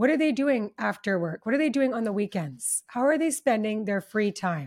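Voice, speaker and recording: Speaking in a Canadian accent, a woman uses an unremarkable speaking voice, fairly high-pitched with lively intonation, on a very clean recording with a silent background. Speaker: relationship summit founder and former matchmaker. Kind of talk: casual interview. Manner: warm and effusive.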